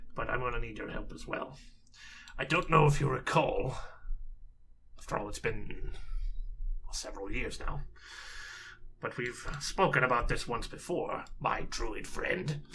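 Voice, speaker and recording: A man's raspy, put-on character voice at a moderate pace, with long, frequent pauses and clear background noise. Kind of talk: tabletop character voice. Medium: actual play. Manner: measured, fussy, precise.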